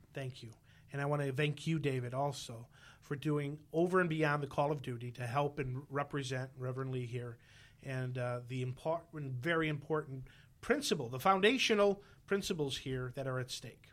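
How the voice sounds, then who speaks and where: A man has a plain, everyday voice at a fairly high pitch. His pitch variation is ordinary. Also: moderate pace. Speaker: radio host. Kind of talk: interview. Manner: joking, tongue in cheek.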